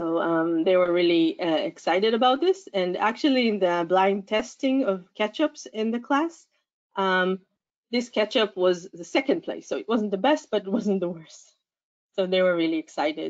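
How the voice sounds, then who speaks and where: Speaking at a moderate pace and medium pitch, a woman with an ordinary speaking voice uses lively intonation. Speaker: science education researcher. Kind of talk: conference talk. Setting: conference.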